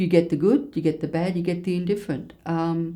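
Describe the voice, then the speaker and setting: Speaking at a moderate pace, a woman with an Australian accent has a fairly low voice with a dark, mellow tone. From Australia, King Island (Tasmania). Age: 60s. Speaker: bookseller and former nurse. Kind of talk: interview.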